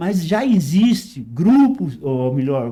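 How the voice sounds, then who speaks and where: Very slowly, a man speaks in a high pitch with a dark, mellow tone. His pitch swings very widely. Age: 80s+. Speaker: retired teacher and amateur runner. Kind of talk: interview.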